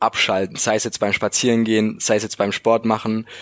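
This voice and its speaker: In a dry, close sound with no echo, a man with a normal speaking voice talks at a moderate pace and medium pitch. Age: 20s. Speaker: university student, student podcaster. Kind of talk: casual interview.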